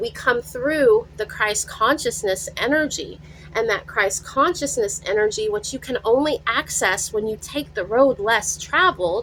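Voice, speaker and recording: A woman talks at a fairly slow pace with hardly any pauses. Noticeable background noise runs behind her. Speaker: tarot reader. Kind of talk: channeled tarot reading. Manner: animated.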